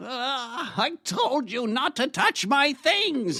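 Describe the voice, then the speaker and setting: Putting on a character voice, a man pitches it extremely high. His delivery is very slow. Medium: audio drama.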